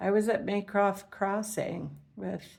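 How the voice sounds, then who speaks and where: A woman's medium-pitched voice with a Canadian accent and vocal fry. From Canada. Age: 70s. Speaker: retired teacher and environmental activist. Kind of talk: personal monologue. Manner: rambling, with filler words.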